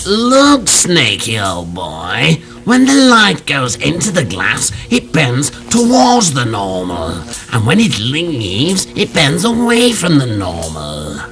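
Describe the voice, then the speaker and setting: With clear noise behind him, a man uses a cartoonish character voice at a fairly slow pace. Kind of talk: comic puppet sketch. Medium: puppet show. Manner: posh, fussy, professorial.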